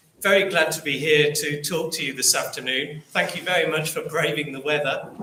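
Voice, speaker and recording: Audible room echo surrounds a man with an English Midlands accent who speaks at a fairly high pitch and a moderate pace. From English Midlands, Rugby. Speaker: local history author and speaker. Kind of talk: public talk. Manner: hesitant, many ums and repeats.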